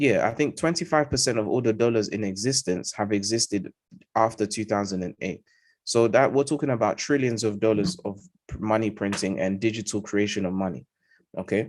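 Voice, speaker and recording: A man with a London accent talks at a fairly quick pace in a fairly low pitch. His pitch variation is ordinary, and the background is quiet. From London, England. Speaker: trading educator. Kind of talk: live market analysis. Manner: emphatic, repetitive fillers.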